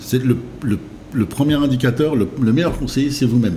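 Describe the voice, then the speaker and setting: Against noticeable background noise, a man at a medium pitch talks at a fairly quick pace with ordinary pitch variation. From Brittany, France (Saint-Brieuc). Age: 40s. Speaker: fast-food chain founder. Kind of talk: interview. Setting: restaurant. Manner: halting, many fillers.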